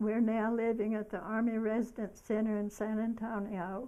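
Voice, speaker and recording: At a fairly slow pace, a woman speaks in a fairly high voice with a dark, mellow tone and monotone, flat intonation. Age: 80s+. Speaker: elderly woman telling her life story. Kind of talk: reading aloud a personal memoir. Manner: halting, with self-corrections.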